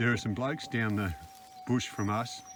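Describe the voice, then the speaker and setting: Against noticeable background noise, a quiet man with an Australian accent talks at a fairly quick pace. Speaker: gold prospector, channel co-host. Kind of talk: casual chat while metal detecting. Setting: outdoors in the bush. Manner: quiet, subdued.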